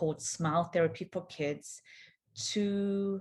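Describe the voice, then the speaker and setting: A woman talks in a South African accent, somewhat breathy, with fairly even intonation. The recording is very clean, the background silent. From South Africa, Johannesburg. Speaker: physiotherapist. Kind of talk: conference talk.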